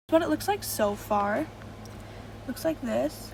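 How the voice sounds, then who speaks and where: A woman's fairly high-pitched voice against noticeable background noise. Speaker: video editing tutorial youtuber. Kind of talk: tutorial. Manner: fast.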